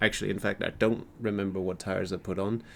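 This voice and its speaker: With a non-native accent, a man with a very deep, low voice talks at a fairly quick pace in a monotone, flat delivery. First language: not English. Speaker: gaming YouTuber. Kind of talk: casual gameplay commentary. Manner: halting, many fillers and repeats.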